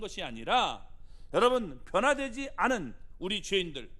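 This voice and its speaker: A man's raised, projected voice at an extremely high pitch, bright and sharp in tone, with very wide pitch swings, a moderate pace, and audible room echo. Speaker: pastor. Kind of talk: sermon.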